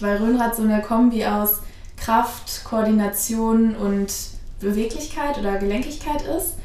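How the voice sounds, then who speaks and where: Noticeable background noise and audible room echo surround this woman's voice. Her pitch is fairly high and her pace fairly slow. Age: 20s. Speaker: rhönrad coach and student. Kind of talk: casual interview.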